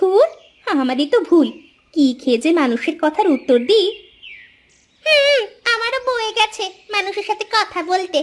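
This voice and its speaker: The cartoonish character voice moves at a moderate pace with very wide pitch swings. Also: woman, extremely high pitch for a woman. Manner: sharp-tongued.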